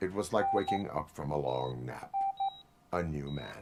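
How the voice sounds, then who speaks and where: Very deep, low pitch and a moderate pace in a man's put-on character voice. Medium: video game. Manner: flat, measured.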